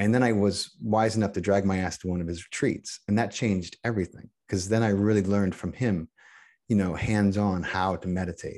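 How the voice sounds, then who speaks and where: In a quiet background, a man with an American accent and an ordinary speaking voice talks at a fairly quick pace, his fairly low pitch held in fairly even intonation. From northeastern Pennsylvania, near Allentown. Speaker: actor-producer and podcaster. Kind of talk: casual chat.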